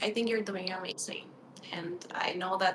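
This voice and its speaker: Noticeable background noise sits behind a woman speaking at a moderate pace. Her pitch is medium and her intonation fairly even. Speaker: horror author. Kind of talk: casual interview chat.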